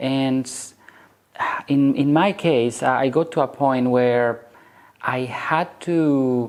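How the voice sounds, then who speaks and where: Speech in a non-native accent comes very slowly, broken by long, frequent pauses. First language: not English. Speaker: network marketing coach. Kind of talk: motivational talk to camera. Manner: casual, hesitant with fillers.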